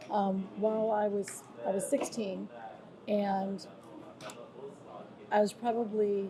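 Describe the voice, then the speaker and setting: With an American accent, a woman speaks at a medium pitch and holds a fairly even intonation. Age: 60s. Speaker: former police commissioner and nonprofit leader. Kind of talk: interview. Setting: travel interview in Brazil.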